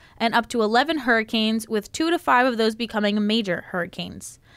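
At a fairly quick pace, the speaker uses ordinary pitch variation in a very clean recording with a silent background. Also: woman. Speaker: student radio news anchor. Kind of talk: newsreading, crisp and polished, steady broadcast delivery of national headlines. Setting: studio. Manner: formal, measured.

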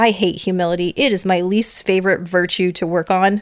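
A woman speaks at a medium pitch. Her pace is moderate, and she has an unremarkable speaking voice. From Italian-American family. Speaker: marriage mentor podcast co-host. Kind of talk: casual chat.

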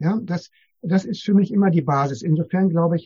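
This is a man speaking at a high pitch. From Germany, East Westphalia. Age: 60s. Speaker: meditation teacher and therapist. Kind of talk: casual interview. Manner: halting, many fillers.

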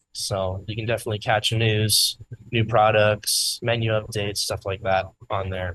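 An ordinary speaking voice with an American accent, fairly even intonation and a moderate pace. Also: man. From South Florida. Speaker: bakery owner. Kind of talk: casual interview. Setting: in his bakery with customers.

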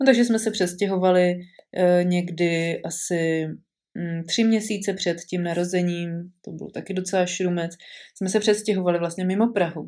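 A woman with a normal speaking voice talks at a moderate pace, fairly low in pitch and with fairly even intonation, on a very clean recording with a silent background. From Prague, Czechia. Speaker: podcaster, mother. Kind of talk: personal storytelling monologue.

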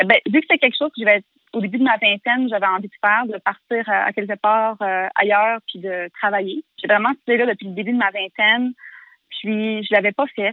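A woman's normal speaking voice, fairly high in pitch, with ordinary pitch variation at a moderate pace. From Quebec, Canada. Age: 20s. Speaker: interviewee living abroad. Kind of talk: casual conversation. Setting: phone call.

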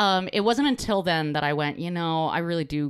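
A woman with an American accent and a very deep, low pitch at a moderate pace, in a very clean recording with a silent background. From New Jersey. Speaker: podcast guest, video game fan. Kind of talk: casual chat. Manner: animated, pitch rises when excited.

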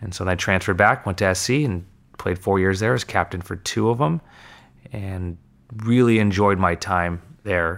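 A man with an American accent speaks at a moderate pace in a very deep, low pitch. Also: ordinary pitch variation. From Southern California (Manhattan Beach). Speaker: real estate agent. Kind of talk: casual chat.

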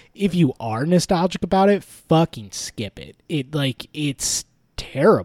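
A man's plain, everyday voice, fairly high in pitch, with lively intonation at a fairly slow pace, dry and close with no echo. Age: 20s. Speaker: podcast co-host. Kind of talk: casual chat.

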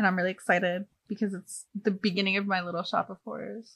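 With an American accent and an unremarkable speaking voice, a woman talks at a fairly quick pace in a medium pitch, in a very clean recording with a silent background and a dry, close sound with no echo. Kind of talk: casual chat.

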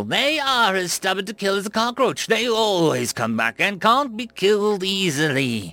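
A man puts on a character voice with a high pitch. He talks at a moderate pace with hardly any pauses. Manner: angry, impatient.

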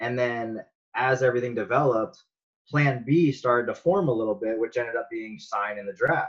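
An ordinary speaking voice, a man with an American accent talks at a medium pitch and a fairly quick pace, with ordinary pitch variation. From Las Vegas, Nevada, US. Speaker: professional baseball player. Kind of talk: casual interview.

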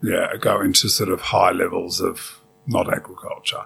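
Someone with an Australian accent speaks while music plays in the background. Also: man. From Sydney, Australia. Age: 60s. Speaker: celebrity hairdresser. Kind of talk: interview.

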